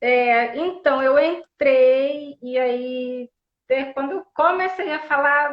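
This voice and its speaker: A high-pitched woman speaks with fairly even intonation. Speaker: psychologist, live stream host. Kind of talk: live stream talk. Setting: online live stream. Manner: slow. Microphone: unstable internet connection.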